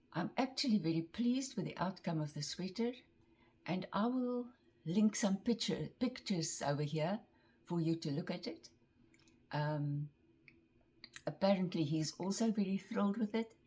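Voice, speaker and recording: A woman with a dark, mellow tone and a somewhat breathy voice of medium pitch speaks at a moderate pace with lively intonation and long, frequent pauses. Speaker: craft vlogger. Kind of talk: casual show-and-tell vlog.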